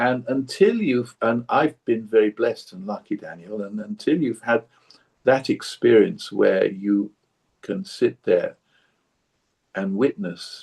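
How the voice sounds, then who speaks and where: Long, frequent pauses break up a man's very slow delivery. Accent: southern English. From southern England (Surrey). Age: 70s. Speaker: long-time meditation practitioner. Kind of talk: interview conversation. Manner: repetitive, stammering restarts.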